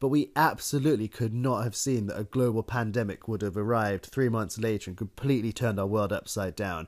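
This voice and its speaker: This very clean recording has a silent background, with a man speaking in a British accent. His pace is fairly quick, at a medium pitch with ordinary pitch variation. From Britain. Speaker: podcast co-host. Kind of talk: casual chat.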